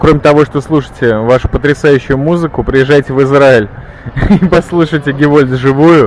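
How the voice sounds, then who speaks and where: Against noticeable background noise, a man speaks with a fairly high pitch. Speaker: radio podcast host. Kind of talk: casual interview. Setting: microbrewery bar in Tel Aviv. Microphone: old media player recording, poor quality.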